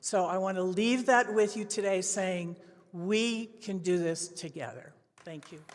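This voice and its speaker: A woman speaks at a fairly slow pace in a medium pitch, with ordinary pitch variation, big swings in loudness and audible room echo. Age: 70s. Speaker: conference speaker, company founder. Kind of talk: short conference talk.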